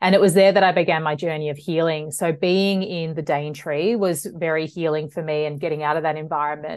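In an Australian accent, a woman talks very fast with fairly even intonation. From Australia, western suburbs of Melbourne. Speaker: naturopath. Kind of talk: interview conversation.

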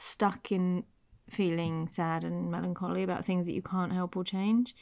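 A woman's medium-pitched, monotone voice with a West Country accent, flat in intonation, on a very clean recording with a silent background. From Devon, England. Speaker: podcast co-host. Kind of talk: casual conversational chat.

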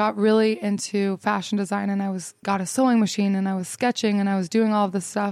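In an American accent, a woman uses an ordinary speaking voice with fairly even intonation. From Utah, US. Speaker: influencer and photographer. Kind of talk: casual interview. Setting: in person at fashion week.

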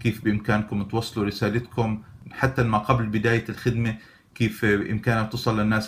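A man speaks at a moderate pace with a fairly low pitch. His voice is somewhat breathy, with monotone, flat intonation. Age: 40s. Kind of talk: tutorial.

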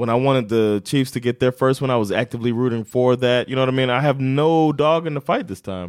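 Over a very clean recording with a silent background, a man speaks with an American accent at a fairly quick pace. His is a normal speaking voice at a medium pitch. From United States. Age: 30s. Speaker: sports podcast co-host. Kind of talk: casual chat. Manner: laughs often.

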